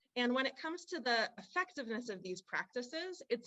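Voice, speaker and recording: A woman talks with a bright, sharp tone and lively intonation. Her pace is moderate. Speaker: university researcher presenting on farming. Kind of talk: webinar presentation.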